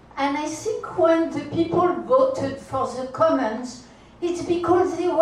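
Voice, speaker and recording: A woman speaks at an extremely high pitch with ordinary pitch variation. Audible room echo and noticeable background noise surround her voice. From France. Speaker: audience member. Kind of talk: public comment.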